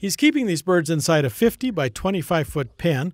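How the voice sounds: In a very clean recording with a silent background, a man speaks at a moderate pace in a fairly high pitch with big pitch swings.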